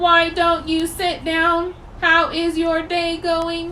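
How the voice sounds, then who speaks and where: A woman speaks very slowly in a put-on character voice pitched extremely high, with a flat, monotone delivery. Background noise is clearly audible. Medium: read story. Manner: polite, soothing.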